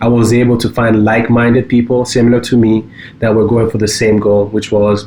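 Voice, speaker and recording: A man at medium pitch with monotone, flat intonation and a fairly quick pace, over noticeable background noise. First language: French. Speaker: cybersecurity company co-founder. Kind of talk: casual podcast chat. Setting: home basement studio.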